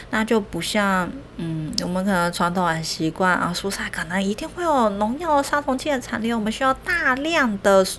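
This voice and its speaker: Noticeable background noise sits behind a woman's medium-pitched voice. She moves at a moderate pace with very wide pitch swings. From Taiwan. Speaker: podcast host, nutrition educator. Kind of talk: solo educational talk. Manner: hesitant with many fillers.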